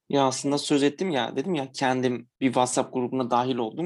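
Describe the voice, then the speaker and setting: Against a quiet background, a man speaks at a moderate pace in an ordinary speaking voice that sits fairly high in pitch. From Diyarbakır, Turkey (Kurdish). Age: 20s. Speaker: accountant, vegan platform co-founder. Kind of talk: casual interview.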